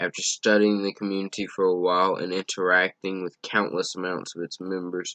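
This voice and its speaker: A man talks at a fairly quick pace in a very deep, low voice. His intonation is monotone and flat, and the sound is dry and close with no echo. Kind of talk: reading another person's written statement aloud. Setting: poor-quality microphone.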